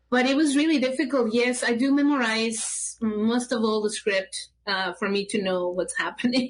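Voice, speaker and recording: Speaking at a moderate pace in a Mexican accent, a woman with a high pitch keeps her loudness very even and her pitch variation ordinary. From Mexico City, Mexico. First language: Spanish. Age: 50s. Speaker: puppeteer. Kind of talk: casual interview. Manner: halting.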